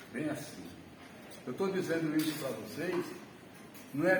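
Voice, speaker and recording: Against noticeable background noise and audible room echo, a man talks in a fairly high voice. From Alagoas, Brazil (northeast). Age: 70s. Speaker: retired math teacher. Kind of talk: personal life story talk to an audience.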